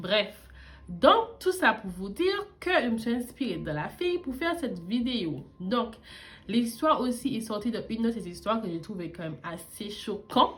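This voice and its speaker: At a fairly slow pace, a woman speaks in a fairly high pitch with very wide pitch swings. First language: not French; learned French at age twelve (speaking French). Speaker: beauty YouTuber. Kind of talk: casual vlog storytelling while doing makeup. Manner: casual, with frequent hesitations.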